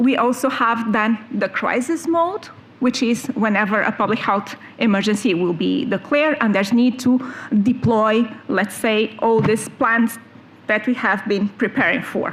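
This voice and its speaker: A woman's fairly high voice with ordinary pitch variation, very even loudness and noticeable background noise. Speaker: EU health official. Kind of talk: conference presentation. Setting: conference panel with audience. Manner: fast.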